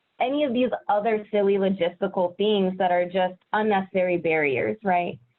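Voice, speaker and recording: Moderately paced, a woman speaks in an ordinary speaking voice with ordinary pitch variation and very even loudness. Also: medium pitch for a woman. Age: 30s. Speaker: educator, interview guest. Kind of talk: interview. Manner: casual, lots of fillers.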